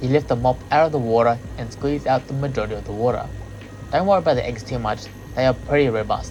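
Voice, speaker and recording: A man with an Australian accent at a very fast pace, music in the background. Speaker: aquarium hobbyist and fish breeder. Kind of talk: hobby tutorial voice-over.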